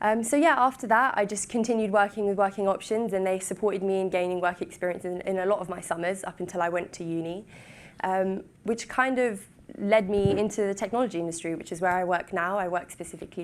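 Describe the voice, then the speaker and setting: A woman talking at a very fast pace with fairly even intonation. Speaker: former programme participant, tech worker. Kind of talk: talk to an audience. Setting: stage with audience.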